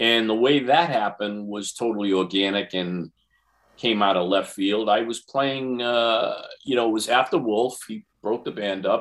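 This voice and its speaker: A man talks at a moderate pace with a fairly low pitch. His is a normal speaking voice. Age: 60s. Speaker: guitarist. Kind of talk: casual interview.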